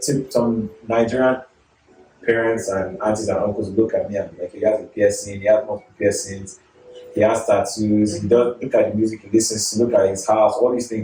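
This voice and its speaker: A man speaks at a fairly quick pace in a medium pitch, with fairly even intonation, big swings in loudness and noticeable background noise. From Nigeria, moved to Canada at 13. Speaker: chef. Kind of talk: casual chat. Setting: at home.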